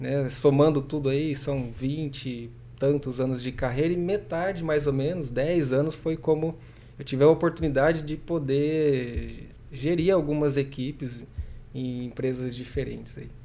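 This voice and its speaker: This man has a dark, mellow tone and fairly even intonation. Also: fairly high pitch for a man, fairly slow pace. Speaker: professor and administrator. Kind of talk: casual interview chat.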